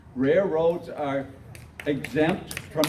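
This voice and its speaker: A man with an American accent speaks at a fairly slow pace, his pitch fairly high and his intonation ordinary in its variation. Noticeable background noise and audible room echo surround his voice. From Michigan. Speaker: retired school teacher. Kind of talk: public meeting speech. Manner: halting.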